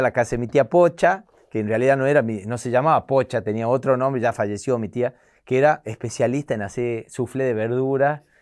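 With a Tucumán accent, a man speaks in an animated tone at medium pitch and a fairly quick pace, with ordinary pitch variation. The recording is very clean, with a silent background. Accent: Tucumán Argentine Spanish. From Tucumán, Argentina. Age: 40s. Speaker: comedian. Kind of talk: casual interview.

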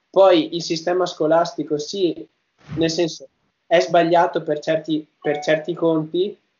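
A man's high-pitched voice, monotone and flat, at a very slow pace. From northern Italy, Padua. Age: 20s. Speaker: YouTuber. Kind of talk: interview.

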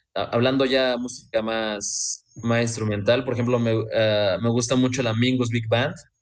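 A man speaks at a fairly slow pace in a monotone, flat intonation with hardly any pauses, and audible room echo surrounds him. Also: medium pitch for a man. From Mexico, Veracruz. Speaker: saxophonist in a band. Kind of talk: interview.

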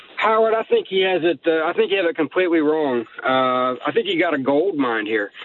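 Over noticeable background noise, a man with a fairly high pitch and lively intonation talks at a fairly quick pace with hardly any pauses and very even loudness. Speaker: Sasquatch hunter. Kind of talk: casual interview chat. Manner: stuttering, repeats words.

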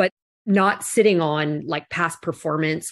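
On a very clean recording with a silent background, a woman speaks at a very deep, low pitch with ordinary pitch variation. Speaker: corporate executive and keynote speaker. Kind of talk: interview. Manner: confident.

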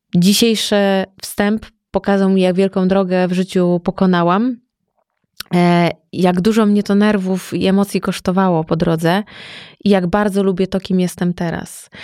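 The delivery is monotone and flat at a moderate pace, with a dark, mellow tone and very even loudness, in a dry, close sound with no echo on a very clean recording with a silent background. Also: woman, medium pitch for a woman. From Masuria, Poland. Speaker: entrepreneur and stylist. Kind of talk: casual interview conversation.

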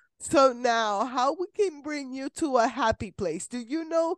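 A woman with a high pitch talks with very wide pitch swings. The sound is dry and close with no echo, over a quiet background. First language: Spanish. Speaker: podcast host. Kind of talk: casual interview. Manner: animated.

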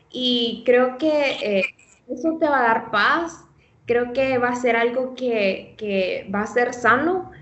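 A high-pitched female voice at a very slow pace, with ordinary pitch variation and audible room echo. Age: 20s. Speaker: nutrition student. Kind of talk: casual interview.

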